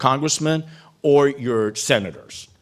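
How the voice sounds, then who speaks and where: A man with an unremarkable speaking voice, ordinary pitch variation and a fairly slow pace. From Cuban-American background. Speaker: keynote speaker, former congressional staffer. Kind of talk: keynote speech.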